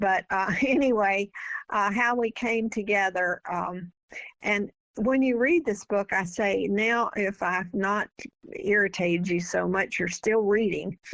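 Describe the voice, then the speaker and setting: A woman with a Southern US accent speaks at a fairly slow pace and medium pitch, with ordinary pitch variation and very even loudness. The recording is very clean, with a silent background. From US South. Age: 80s+. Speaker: author. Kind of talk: interview.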